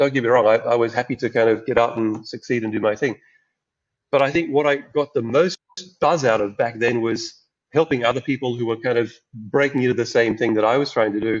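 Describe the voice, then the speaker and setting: With an Australian accent, a man speaks at a medium pitch and with fairly even intonation. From rural Queensland, Australia. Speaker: angel investor. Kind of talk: podcast interview. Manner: hesitant, with repetitions.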